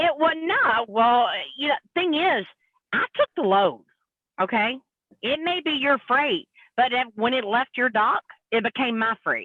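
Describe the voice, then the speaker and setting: Speaking at a fairly slow pace with long, frequent pauses, a woman uses a high pitch, lively intonation and very even loudness. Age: 50s. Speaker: truck driver. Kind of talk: casual live panel chat.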